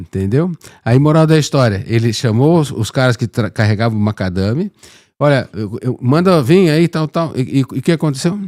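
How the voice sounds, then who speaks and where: A man with a normal speaking voice talks at a moderate pace and medium pitch, his intonation lively, the sound dry and close with no echo. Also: very clean recording, silent background. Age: 60s. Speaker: podcast host. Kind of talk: casual interview chat.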